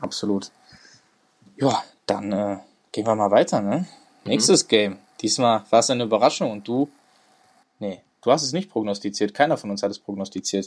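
A man speaking at a moderate speed, his words broken by long, frequent pauses. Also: fairly low pitch for a man, ordinary pitch variation. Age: 20s. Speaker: sports podcast host, student. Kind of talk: casual sports chat.

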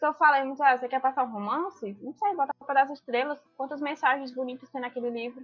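Her high-pitched voice races along at a very fast pace with hardly any pauses. The woman's loudness swings widely. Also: ordinary pitch variation. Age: 20s. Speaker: law student, book lover. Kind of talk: casual chat.

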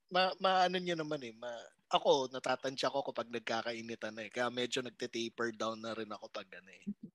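A man with a normal speaking voice talks at medium pitch and a fairly quick pace, with lively intonation. His loudness swings widely, and the sound is dry and close with no echo. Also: very clean recording, silent background. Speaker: comedy podcast host. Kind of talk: casual chat.

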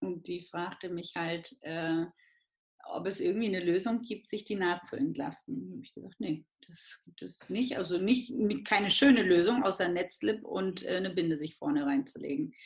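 Delivered at a moderate pace, the speech has lively intonation, big swings in loudness and a somewhat breathy quality. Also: woman, medium pitch for a woman. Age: 30s. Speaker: midwife and entrepreneur. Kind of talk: interview.

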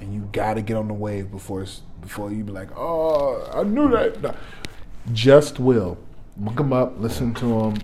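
A man with an American accent speaks at a moderate pace and medium pitch with ordinary pitch variation, his loudness swinging widely amid audible room echo and noticeable background noise. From Detroit, Michigan. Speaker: podcaster. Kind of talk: casual chat.

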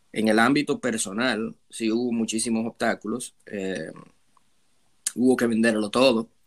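Here a man speaks at a fairly slow pace. His pitch is medium and his intonation fairly even. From Dominican Republic, Santo Domingo. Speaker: hospitality professional, immigrant. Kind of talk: interview. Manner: halting, many fillers and repetitions.

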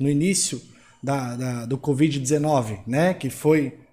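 At a very slow pace, a man speaks in a fairly high, somewhat breathy voice. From São Paulo, Brazil. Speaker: financial consultant. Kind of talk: panel discussion.

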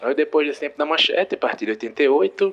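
A man talks at a moderate pace while noticeable background noise carries on around him. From Rio de Janeiro, Brazil. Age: 30s. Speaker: listener sending voice message. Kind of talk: recorded voice message.

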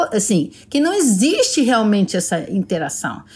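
A woman's voice with very wide pitch swings. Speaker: TV executive producer. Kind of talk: casual interview.

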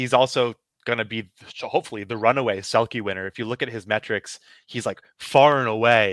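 Moderately paced male speech at medium pitch with fairly even intonation, a normal speaking voice, dry and close with no echo on a very clean recording with a silent background. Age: 20s. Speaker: hockey writer. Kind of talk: casual chat.

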